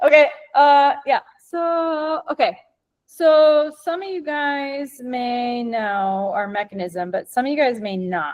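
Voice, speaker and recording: Speaking very slowly with a slight Midwestern American accent, a woman's high voice makes very wide pitch swings and big swings in loudness. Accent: Midwest American, slight. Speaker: scientist and company co-founder. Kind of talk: educational webinar presentation.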